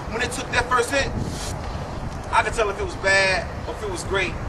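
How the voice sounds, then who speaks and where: A man with an American accent talks at a very fast pace, his intonation fairly even. Noticeable background noise runs under his speech. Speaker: spoken word artist. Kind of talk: spoken word poetry performance.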